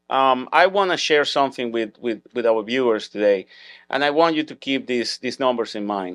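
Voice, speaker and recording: On a very clean recording with a silent background and a dry, close sound with no echo, a man at medium pitch talks at a fairly quick pace with lively intonation. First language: Spanish or Hebrew. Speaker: podcast host, school security business owner. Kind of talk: interview. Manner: halting, repeats words.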